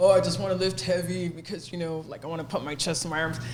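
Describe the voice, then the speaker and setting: A woman's animated voice at a fairly low pitch with an American accent, with audible room echo and noticeable background noise. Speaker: fitness trainer. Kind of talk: casual podcast chat.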